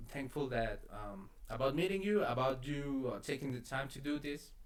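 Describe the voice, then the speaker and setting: Ordinary pitch variation from a man with a non-native accent. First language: not English. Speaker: podcast host. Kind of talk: casual chat. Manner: halting.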